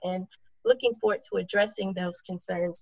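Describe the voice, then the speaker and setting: A woman speaks in an American accent, her voice somewhat breathy. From DeKalb County, Georgia, US South. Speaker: political candidate, chemist. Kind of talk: candidate forum statement.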